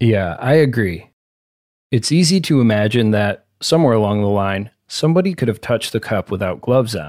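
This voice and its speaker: A man with a plain, everyday voice speaks at a fairly quick pace and medium pitch, using lively intonation. The recording is very clean with a silent background. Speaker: podcast host and narrator. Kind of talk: scripted narration with ad reads.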